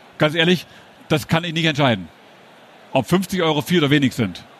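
A man speaks with ordinary pitch variation. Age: 50s. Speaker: sales trainer and trade fair speaker. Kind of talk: conference talk. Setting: stage at a trade fair hall.

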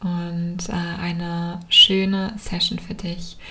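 Over noticeable background noise, a woman speaks at a very slow pace and fairly low pitch in a calm, soothing tone with monotone, flat intonation. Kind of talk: guided meditation. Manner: slow, calm, soothing, with long pauses; soft-spoken, gentle.

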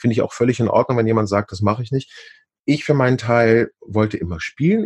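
At a very fast pace, a man with a medium-pitched, somewhat breathy voice and ordinary pitch variation is heard against a quiet background in a dry, close sound with no echo. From Hamburg, northern Germany. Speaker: actor and musical performer. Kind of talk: interview.

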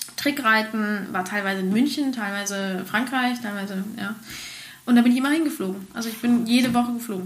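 Amid audible room echo and noticeable background noise, a woman speaks at a fairly quick pace in a fairly high pitch with ordinary pitch variation. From Spain. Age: 30s. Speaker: horse trainer and stunt rider. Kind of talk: interview.

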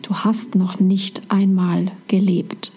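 At a very slow pace, a woman of medium pitch speaks in a monotone, flat intonation over noticeable background noise. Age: 40s. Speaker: spiritual mentor and podcast host. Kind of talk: monologue podcast.

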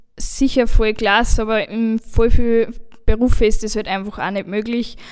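Flat and monotone, the intonation stays level while the words come fairly slowly. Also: woman. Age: 20s. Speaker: carpentry apprentice. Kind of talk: panel discussion.

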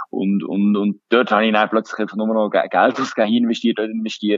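A man talks with a Swiss German accent. His pace is fairly quick. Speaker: startup accelerator founder. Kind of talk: interview. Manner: halting.

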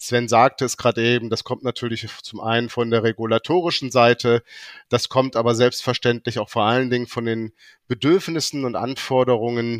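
In a dry, close recording with no echo and a quiet background, a man speaks at a moderate pace with a medium pitch and fairly even intonation. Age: 50s. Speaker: bank executive. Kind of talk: corporate interview. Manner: hesitant with filler sounds.

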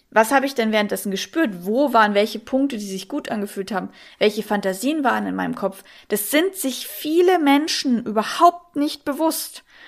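In a very clean recording with a silent background, a woman with a slight Bavarian accent speaks at a moderate pace with a fairly high pitch and lively intonation. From Munich, Bavaria. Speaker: sex coach. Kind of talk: interview.

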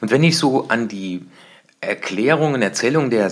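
A man talks in an ordinary speaking voice at a moderate pace. His pitch is medium with ordinary variation. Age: 50s. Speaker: success coach. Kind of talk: solo podcast monologue.

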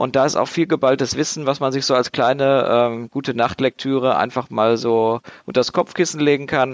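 In an unremarkable speaking voice, a man talks at a moderate pace with fairly high pitch and ordinary pitch variation, captured with a dry, close sound with no echo against a quiet background. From Dortmund, Germany. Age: 20s. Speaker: board game designer. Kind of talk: casual chat.

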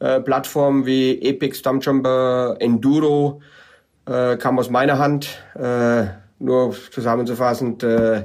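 On a very clean recording with a silent background, a man talks at a very slow pace in a medium pitch, his intonation monotone and flat. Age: 40s. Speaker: bike product developer. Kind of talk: interview. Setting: wine cellar in South Africa.

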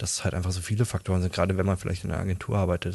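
Against a quiet background, a man speaks in a somewhat breathy voice with a very deep, low pitch. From Berlin, later Dutch border region. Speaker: freelance 3D artist. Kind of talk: interview, casual chat. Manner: hesitant, many fillers.

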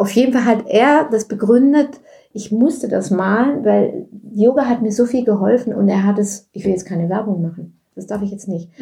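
A woman with a somewhat breathy, dark, mellow tone speaks at a fairly high pitch with ordinary variation. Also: moderate pace. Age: 70s. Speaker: yoga teacher. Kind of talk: casual interview.

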